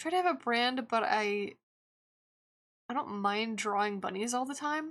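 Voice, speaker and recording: This is an unremarkable speaking voice delivered at a moderate pace. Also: woman, fairly high pitch for a woman, lively intonation. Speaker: streamer and digital artist. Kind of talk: casual chat while drawing on a live stream.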